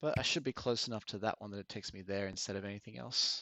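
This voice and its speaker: A man speaks very fast with an Australian accent. His pitch varies in an ordinary way. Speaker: VR game streamer. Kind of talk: live gameplay commentary. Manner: casual, conversational.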